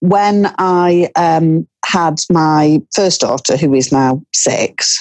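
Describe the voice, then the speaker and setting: With a Cumbrian accent, a woman of fairly low pitch speaks at a very slow pace with ordinary pitch variation. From northern England, Cumbria. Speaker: author. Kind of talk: interview.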